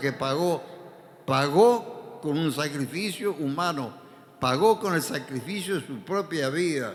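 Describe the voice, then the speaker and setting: Through audible room echo, a man with a fairly high pitch and lively intonation talks at a very slow pace. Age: 80s+. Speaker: pastor. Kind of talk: sermon.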